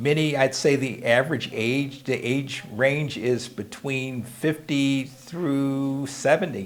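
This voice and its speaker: Background noise is noticeable as a man with an American accent speaks at a very slow pace. His pitch is fairly high and his intonation fairly even. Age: 60s. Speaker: preacher. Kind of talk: casual update monologue. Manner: hesitant, with fillers.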